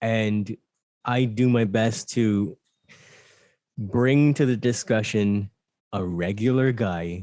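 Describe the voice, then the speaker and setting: This man has a slight Barbadian accent and a dark, mellow tone at a fairly low pitch with ordinary pitch variation. He talks at a very slow pace with long, frequent pauses. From Barbados. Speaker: mindfulness and meditation coach. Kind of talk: casual chat.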